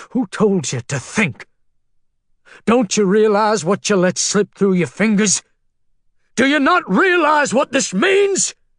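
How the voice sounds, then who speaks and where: A man's put-on character voice, high in pitch with very wide pitch swings, at a fairly slow pace with long, frequent pauses, in a dry, close sound with no echo. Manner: stern, scolding.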